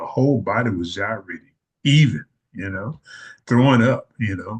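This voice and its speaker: A man with a fairly low, somewhat breathy voice speaks at a moderate pace. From US South. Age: 70s. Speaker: retired army veteran and educator. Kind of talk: interview.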